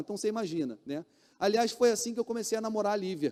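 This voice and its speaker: A man's high-pitched, dark and mellow voice at a very fast pace, in a dry, close sound with no echo. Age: 40s. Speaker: pastor. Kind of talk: sermon. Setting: church.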